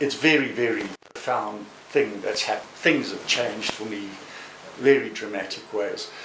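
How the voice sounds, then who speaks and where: This man speaks at a fairly slow pace, with big swings in loudness. Audible room echo and noticeable background noise surround his voice. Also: medium pitch for a man, ordinary pitch variation. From South Africa. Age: 60s. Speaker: human rights lawyer. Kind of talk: testimony. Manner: halting.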